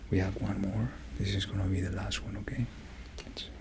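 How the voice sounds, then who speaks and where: A soft-spoken man at a moderate pace, with noticeable background noise. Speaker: doctor in roleplay. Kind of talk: ASMR medical roleplay.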